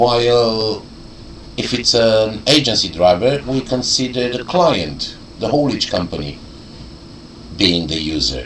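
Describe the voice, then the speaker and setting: A man with a non-native accent speaks fairly slowly at a medium pitch, with very wide pitch swings and long, frequent pauses. Audible room echo and noticeable background noise fill the recording. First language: not English. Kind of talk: explanatory video message. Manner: halting, searching for words.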